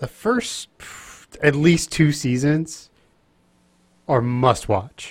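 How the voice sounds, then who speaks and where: A somewhat breathy man with a fairly high pitch speaks at a very slow pace and lively intonation, taking long, frequent pauses. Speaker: podcast co-host. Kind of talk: casual chat.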